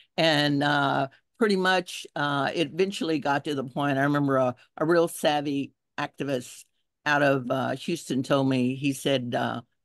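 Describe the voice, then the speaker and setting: Against a quiet background, a woman with a very deep, low pitch speaks at a moderate pace with fairly even intonation, the sound dry and close with no echo. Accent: American. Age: 70s. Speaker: environmental activist. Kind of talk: testimony.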